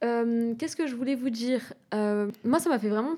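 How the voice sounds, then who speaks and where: A woman speaks in a fairly high pitch. Her tone is dark and mellow. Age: 20s. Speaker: podcast host. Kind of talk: casual chat. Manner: animated.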